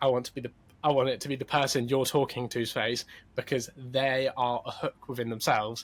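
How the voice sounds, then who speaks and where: A man's medium-pitched voice at a fairly quick pace, monotone and flat in intonation. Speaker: social media content creator. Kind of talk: podcast interview. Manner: fast.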